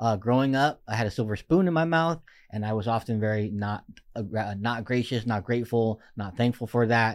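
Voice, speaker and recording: A man with an American accent and a plain, everyday voice, medium pitch, ordinary pitch variation, and a fairly quick pace, on a very clean recording with a silent background. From Oxnard, California. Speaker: college radio podcast host. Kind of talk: casual chat. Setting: studio.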